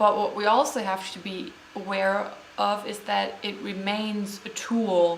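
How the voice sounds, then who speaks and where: Speaking fairly slowly with a German accent, a woman uses a medium pitch and fairly even intonation, her loudness swinging widely amid audible room echo and noticeable background noise. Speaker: vlogger. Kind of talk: unscripted vlog monologue. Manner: hesitant, many fillers.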